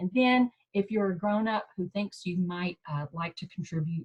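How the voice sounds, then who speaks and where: The speaker, with a slight Southern accent, sounds somewhat breathy, with lively intonation at a moderate pace. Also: woman. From US South, Mississippi. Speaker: professor. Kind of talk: presentation. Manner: casual, halting.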